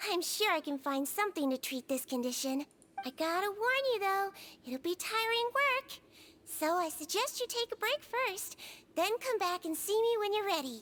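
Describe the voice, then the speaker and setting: A woman puts on a squeaky character voice, pitched extremely high, with very wide pitch swings at a moderate pace. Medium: video game. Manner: soft-spoken, gentle.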